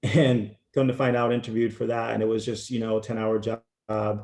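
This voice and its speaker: A man talks at a fairly quick pace with an American accent. His fairly low voice has a dark, mellow tone and a monotone, flat intonation. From Connecticut, US. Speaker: strength coach. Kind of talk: interview.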